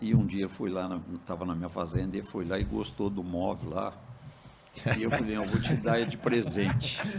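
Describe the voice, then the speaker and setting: A man at a very deep, low pitch with ordinary variation and a moderate pace, with noticeable background noise and audible room echo. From Minas Gerais, Brazil. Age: 70s. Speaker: farmer and cooperative president. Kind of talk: podcast interview.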